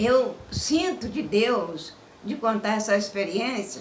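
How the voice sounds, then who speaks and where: A woman with a fairly high pitch and lively intonation speaks in an audible room echo over noticeable background noise. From Minas Gerais, Brazil. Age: 70s. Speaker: religious woman telling her life story. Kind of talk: personal testimony.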